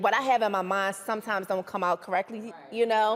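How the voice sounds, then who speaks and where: With music in the background, a woman talks at a fairly quick pace in a medium pitch. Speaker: talk show co-host. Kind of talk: casual panel discussion. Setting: studio, on camera. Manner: stutters when nervous.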